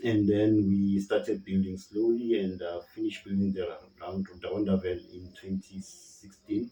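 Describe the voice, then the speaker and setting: In a South African accent, a dark, mellow voice talks in a flat monotone with hardly any pauses and big swings in loudness. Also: man, fairly low pitch for a man, moderate pace. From South Africa, Gauteng (KwaThema, Johannesburg). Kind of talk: interview answer. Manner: conversational, hesitant.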